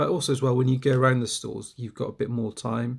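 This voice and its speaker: The voice belongs to a man and is somewhat breathy. Its pitch sits in the medium range. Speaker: toy collector YouTuber. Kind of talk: casual vlog talk. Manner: halting, many fillers.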